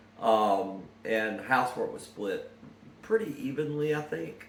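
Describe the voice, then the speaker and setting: A man speaks with audible room echo. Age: 50s. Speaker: son interviewing his mother. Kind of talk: informal reminiscence. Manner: hesitant, many fillers.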